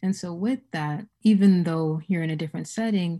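In a very clean recording with a silent background, a woman speaks at a moderate pace. Her voice is fairly low, somewhat breathy and dark and mellow in tone. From West Africa. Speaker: community researcher and activist. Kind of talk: casual interview.

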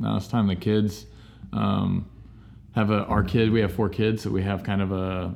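A man with a very deep, low pitch talks at a moderate pace amid audible room echo. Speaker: aspiring overseas missionary. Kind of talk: casual chat. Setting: church building, lawnmower outside.

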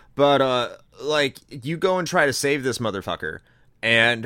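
Recorded very cleanly against a silent background, a man speaks at a medium pitch in an American accent with a bright, sharp tone. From United States. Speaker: podcast presenter. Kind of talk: casual chat.

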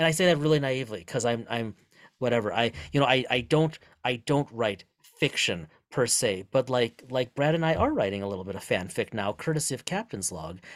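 Using a normal speaking voice, a man talks at a medium pitch and fairly quick pace with lively intonation in a very clean recording with a silent background. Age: 40s. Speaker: podcast host and author. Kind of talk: casual chat.

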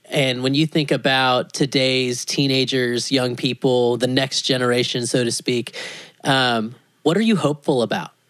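At a moderate pace, a man with a medium pitch speaks in a plain, everyday voice. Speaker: podcast host. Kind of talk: interview. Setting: at home, in living room.

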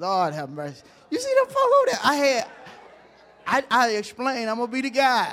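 An animated man's voice with very wide pitch swings over noticeable background noise. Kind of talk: sermon, preacher in full flow. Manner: call-and-response, urging the congregation to shout back amens; animated, emphatic and folksy, with rhetorical questions.

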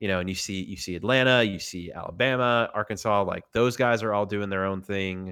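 A man with a Southern US accent speaks at a fairly quick pace with hardly any pauses, his fairly low pitch carrying a bright, sharp tone and fairly even intonation, on a very clean recording with a silent background. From US South, Tennessee. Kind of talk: casual chat.

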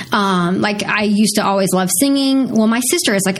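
With an American accent, a woman speaks at a moderate pace in a medium pitch with ordinary variation. Noticeable background noise and audible room echo are present. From Missouri, US Midwest. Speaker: TV news anchor. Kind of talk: casual interview.

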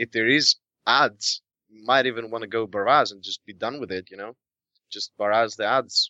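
A man with an ordinary speaking voice at a medium pitch and a moderate pace, with big swings in loudness. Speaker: podcast guest. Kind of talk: casual chat. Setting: video call.

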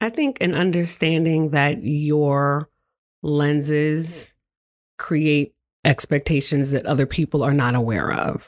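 A woman's very deep, low voice at a very slow pace with very even loudness. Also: ordinary pitch variation. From New York. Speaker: media nonprofit executive director. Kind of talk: casual interview. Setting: studio.

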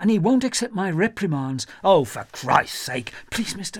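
The passage is being read aloud in a natural voice.

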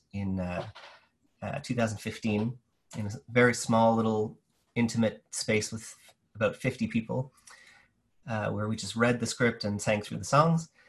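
A man speaks at a moderate pace and medium pitch, somewhat breathy, with ordinary pitch variation. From New Brunswick, Canada. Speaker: theater artist and educator. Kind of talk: casual interview.

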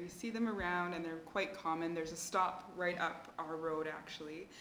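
There is audible room echo as a woman speaks in a Canadian accent at a moderate pace. Her pitch is fairly low and her intonation fairly even. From Canada. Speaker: grant officer at a development foundation. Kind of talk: casual chat.

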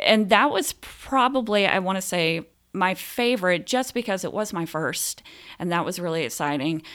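A woman speaks with an American accent in a plain, everyday voice. Her pitch is medium and her intonation lively, at a moderate pace. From US South, Phenix City, Alabama. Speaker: theater director. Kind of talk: casual interview.

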